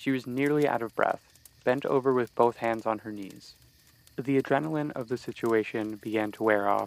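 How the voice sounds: The voice reads aloud naturally. Pitch moves up and down in an ordinary way.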